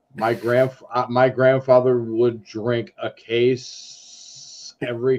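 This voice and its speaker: This is a man with an American accent. His pitch is medium. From Schenectady, New York, US. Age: 50s. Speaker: ham radio hobbyist. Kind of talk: casual chat.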